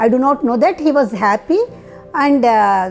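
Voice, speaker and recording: Music plays in the background as a woman speaks fairly slowly with lively intonation. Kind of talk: family member testimonial. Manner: hesitant.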